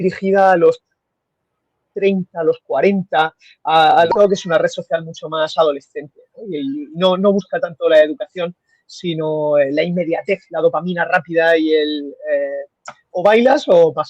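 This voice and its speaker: Speaking with a Murcian accent, a man uses a high voice at a fairly slow pace, with ordinary pitch variation and a dry, close sound with no echo. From Spain, Murcia. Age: 30s. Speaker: radiologist. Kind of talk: interview conversation. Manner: halting.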